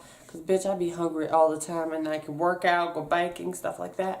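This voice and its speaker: A woman with a fairly low pitch speaks in an animated tone with ordinary pitch variation, and room echo is audible. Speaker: vlogger. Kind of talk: casual storytime vlog. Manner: fast.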